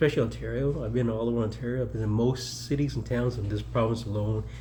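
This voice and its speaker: A fairly low-voiced man with a Canadian accent talks at a very fast pace. Room echo is audible. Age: 60s. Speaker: mayoral candidate and military veteran. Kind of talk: casual personal reflection vlog. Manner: rambling, halting with fillers.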